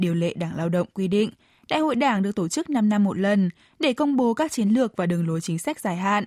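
Very fast speech with lively intonation comes through on a very clean recording with a silent background. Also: woman, medium pitch for a woman. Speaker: radio host. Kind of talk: news reading, scripted radio presenting. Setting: studio. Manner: formal.

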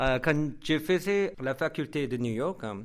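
On a very clean recording with a silent background, a man with a Korean accent speaks at a fairly high pitch. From South Korea. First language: Korean (speaking French). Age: young. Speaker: radio host and writer. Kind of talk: interview. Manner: halting.

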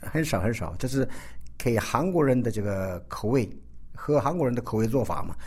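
With vocal fry and a dark, mellow tone, a man speaks at a fairly quick pace, his pitch medium and its variation ordinary. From South Korea (ethnic Chinese). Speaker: chef. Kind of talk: interview.

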